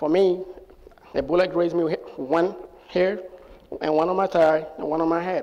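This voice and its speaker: A man with a high pitch speaks at a moderate pace in a flat monotone, leaving long, frequent pauses. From Sierra Leone. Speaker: US Air Force airman. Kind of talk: personal storytelling to live audience. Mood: somber, recounting wartime trauma. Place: stage. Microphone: lapel.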